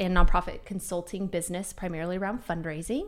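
A woman speaks in an American accent at a medium pitch. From Missouri, Kansas City area. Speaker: entrepreneur and consultant. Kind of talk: casual interview. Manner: loud.

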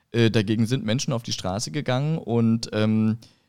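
This man has an ordinary speaking voice at a medium pitch, talking at a fairly slow pace with ordinary pitch variation, recorded very cleanly against a silent background. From eastern Germany, Görlitz (Upper Lusatia, Saxony). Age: 40s. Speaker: political candidate. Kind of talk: interview discussion.

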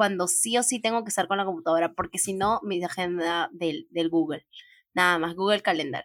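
In an ordinary speaking voice of medium pitch and ordinary pitch variation, a woman talks at a fairly quick pace, the sound dry and close with no echo. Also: very clean recording, silent background. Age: 20s. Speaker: podcast host. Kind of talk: casual chat.

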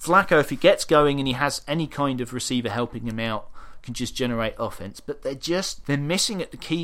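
Lively intonation and a fairly quick pace in a British accent, in a very clean recording with a silent background. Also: man. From UK. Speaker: football blog editor and podcast co-host. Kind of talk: casual chat.

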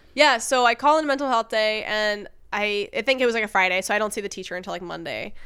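On a very clean recording with a silent background, a woman with a bright, sharp tone speaks at a fairly quick pace and medium pitch with ordinary pitch variation. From island archipelago, mountain upbringing. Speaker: podcast co-host. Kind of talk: casual chat.

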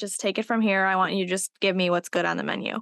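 Against a quiet background and in a dry, close sound with no echo, a woman with an ordinary speaking voice talks at a medium pitch with fairly even intonation. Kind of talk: casual chat.

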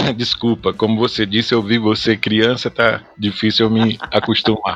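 There is noticeable background noise. A man talks fairly slowly over it. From Goiás, Brazil. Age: 40s. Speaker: pastor. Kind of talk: podcast interview.

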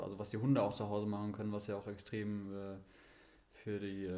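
Audible room echo surrounds a man who talks at a very fast pace in a fairly low pitch with monotone, flat intonation. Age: 30s. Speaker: runner and sled dog sports enthusiast. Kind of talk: casual chat. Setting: physio practice, remote podcast.

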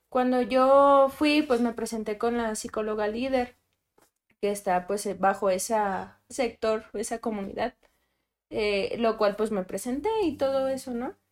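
A woman's plain, everyday voice at a fairly high pitch and fairly slow pace, ordinary pitch variation, on a very clean recording with a silent background. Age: 20s. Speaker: psychologist. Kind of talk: panel discussion.

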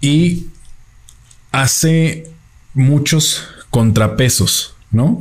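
Somewhat breathy, a man speaks at a very slow pace with long, frequent pauses. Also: fairly high pitch for a man, ordinary pitch variation. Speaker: film review podcaster. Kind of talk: solo film review monologue. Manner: halting, many fillers.

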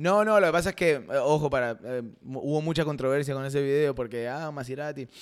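A man speaks with an Argentine accent at a fairly quick pace. His pitch is fairly high, with ordinary variation. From Argentina, Rosario. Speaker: content creator and actor. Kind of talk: casual chat.

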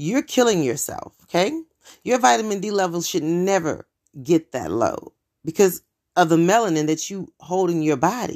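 On a very clean recording with a silent background, a woman of medium pitch speaks at a moderate pace in an animated tone with lively intonation. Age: 40s. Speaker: podcast host. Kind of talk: casual monologue.

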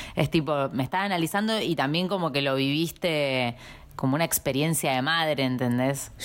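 Loudness stays very even while the speaker keeps a moderate pace and ordinary pitch variation. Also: woman, very deep, low pitch for a woman. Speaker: podcast co-host. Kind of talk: casual chat.

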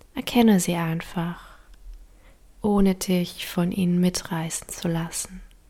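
The voice has a calm, gentle tone, moving at a very slow pace with long, frequent pauses. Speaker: meditation guide. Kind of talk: guided meditation. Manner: slow, soft-spoken, soothing; calm, gentle, with long pauses.

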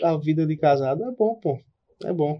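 A man with a fairly high pitch has an unremarkable speaking voice and ordinary pitch variation. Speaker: podcast co-host, streamer. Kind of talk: casual chat.

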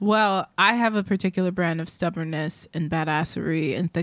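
Over a very clean recording with a silent background, a woman with an unremarkable speaking voice and fairly low pitch talks at a moderate pace with fairly even intonation. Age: 30s. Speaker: podcast co-host, musician. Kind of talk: casual chat.

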